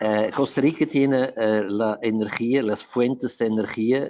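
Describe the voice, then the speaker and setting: A man with a Portuguese accent, medium pitch and a very slow pace. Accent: Portuguese-tinged Spanish. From Switzerland. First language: not Spanish (Swiss, lives in Portugal) (speaking Spanish). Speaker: urban planner and electric mobility specialist. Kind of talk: webinar presentation. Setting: online webinar. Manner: halting, many fillers and restarts.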